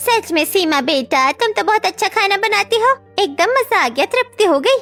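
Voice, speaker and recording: A woman does a cartoonish character voice at an extremely high pitch, with very wide pitch swings and very even loudness. She talks at a moderate pace over faint background music. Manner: familiar, chatty.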